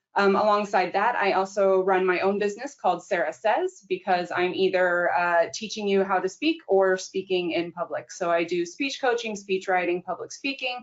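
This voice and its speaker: Using an ordinary speaking voice with an American accent, a woman talks at a moderate pace with a medium pitch, ordinary pitch variation and hardly any pauses. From United States. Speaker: innovation manager and speech coach. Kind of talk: webinar panel introduction.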